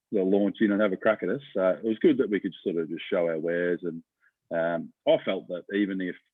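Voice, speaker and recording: Speaking at a fairly quick pace with an Australian accent, a man has a very deep, low voice and fairly even intonation. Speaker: professional greyhound punter. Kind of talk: casual interview. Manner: hesitant, many fillers.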